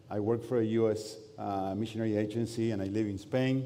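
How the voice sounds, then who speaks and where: A man's dark, mellow tone at a fairly low pitch, with audible room echo. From Argentina. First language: Spanish. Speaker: pastor. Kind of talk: sermon. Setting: church. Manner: halting.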